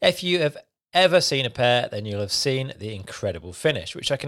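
A man speaks at a fairly quick pace with a British accent and very wide pitch swings. The recording is very clean, with a silent background. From UK. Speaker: podcast host. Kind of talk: interview.

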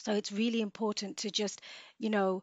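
A woman with a plain, everyday voice and fairly even intonation. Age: 30s. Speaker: nurse and makeup artist. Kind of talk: casual interview.

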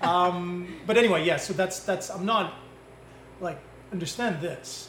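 Against noticeable background noise, a man with a high pitch speaks at a fairly slow pace, with fairly even intonation and long, frequent pauses. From Belgium. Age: 40s. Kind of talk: casual interview. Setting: live in a bakery.

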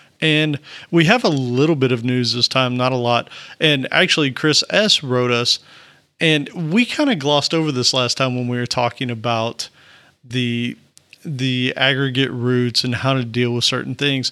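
A man with a Southern US accent, a bright, sharp tone, fairly even intonation, and a moderate pace, on a very clean recording with a silent background. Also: medium pitch for a man. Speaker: software developer podcast co-host. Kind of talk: casual technical discussion.

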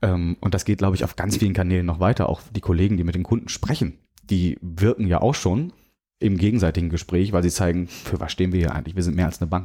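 Very deep, low male voice with a dark, mellow tone, very fast pace and ordinary pitch variation, in a very clean recording with a silent background. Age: 30s. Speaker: bank sustainability manager. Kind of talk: interview.

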